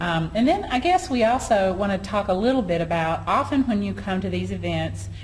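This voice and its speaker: A Southern US accent amid noticeable background noise and audible room echo. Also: woman. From US South. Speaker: online marketing business owner. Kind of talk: casual chat. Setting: at a conference in Atlanta.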